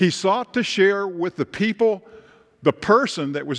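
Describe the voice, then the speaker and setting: In a Tennessee accent, the speaker talks at a fairly slow pace over a quiet background. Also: man. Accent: Southern US (Tennessee). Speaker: pastor. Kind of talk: sermon.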